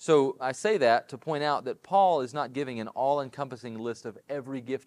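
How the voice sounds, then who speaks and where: With an unremarkable speaking voice, a man talks at a fairly quick pace with ordinary pitch variation, recorded very cleanly against a silent background in a dry, close sound with no echo. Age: 30s. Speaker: pastor. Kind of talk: sermon. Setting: church.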